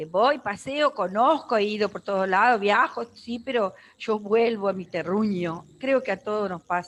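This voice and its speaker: A woman with an Argentine accent speaks at a fairly slow pace. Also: medium pitch for a woman, ordinary pitch variation, hardly any pauses. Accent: Argentine Spanish (Rioplatense, voseo). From Argentina, San Javier, Santa Fe province. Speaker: life coach. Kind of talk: casual chat.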